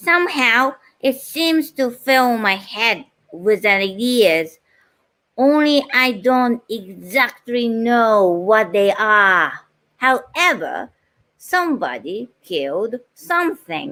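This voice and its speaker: Speaking very slowly with a Japanese accent, a woman uses a fairly high, bright, sharp voice whose pitch swings very widely while her loudness stays very even. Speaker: voice-over artist. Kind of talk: reading a book passage aloud.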